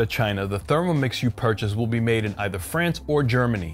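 With faint music in the background, a man speaks at a fairly quick pace. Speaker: cooking channel host. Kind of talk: product review commentary. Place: kitchen.

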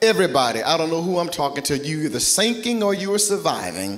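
Very wide pitch swings in a man's speech. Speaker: pastor. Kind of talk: sermon. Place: church. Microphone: handheld.

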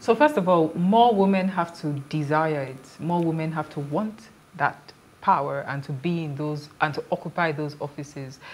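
A woman with a Nigerian accent and a very deep, low pitch at a moderate pace. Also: ordinary pitch variation. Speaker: political candidate; candidate. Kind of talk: TV panel interview. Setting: studio. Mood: earnest, persuasive. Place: studio. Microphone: lapel.

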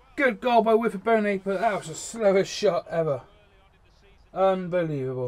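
The intonation is lively, at a moderate pace. Background noise is noticeable. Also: man, high pitch for a man. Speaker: gaming YouTuber. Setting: home recording, talking over gameplay.

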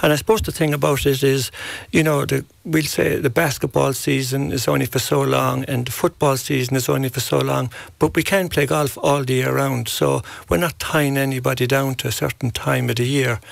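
In a Kerry accent, a man speaks at a fairly quick pace, the sound dry with no echo and the background quiet. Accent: Irish (Kerry). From Ireland, County Kerry; Ireland. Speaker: golf coach. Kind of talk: interview. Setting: radio studio. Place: studio. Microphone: studio mic.

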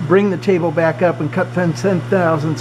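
Over light background noise, a man speaks at a moderate pace with ordinary pitch variation. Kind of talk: tutorial. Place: workshop. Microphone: phone near.

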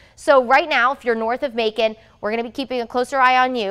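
Against a quiet background, a woman talks at a very fast pace. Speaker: TV meteorologist. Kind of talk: TV weather forecast, explaining storm outlook map to camera. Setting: TV studio in front of weather map. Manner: conversational, upbeat explainer with light banter; measured, reassuring tone, repeatedly stressing threat is isolated. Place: studio.

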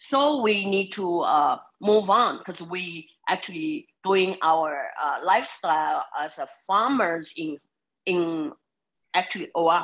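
The speaker uses lively intonation at a very slow pace. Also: woman. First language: not English. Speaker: farmer testifying at a public hearing. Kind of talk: public testimony. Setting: video conference. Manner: halting, many fillers. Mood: earnest, slightly nervous. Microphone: video call.

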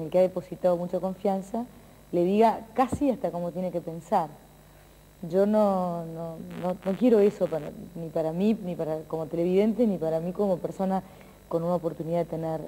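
A woman with a dark, mellow tone talks at a fairly quick pace with ordinary pitch variation. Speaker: TV presenter. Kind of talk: interview answer. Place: studio.

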